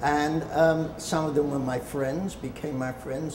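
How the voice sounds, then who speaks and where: Talking at a fairly slow pace, a man with a fairly high pitch keeps his intonation fairly even over noticeable background noise and audible room echo. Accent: London. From London, England. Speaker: retired film publicist and author. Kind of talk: casual interview-style storytelling. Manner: halting, with fillers.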